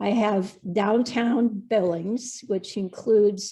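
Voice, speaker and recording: A woman with a dark, mellow tone and a somewhat breathy voice speaks very slowly with fairly even intonation. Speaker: state legislator and educator. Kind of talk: webinar panel talk.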